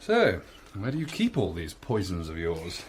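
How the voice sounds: Using a put-on character voice, a man speaks low in pitch at a fairly slow pace with very wide pitch swings over faint background noise.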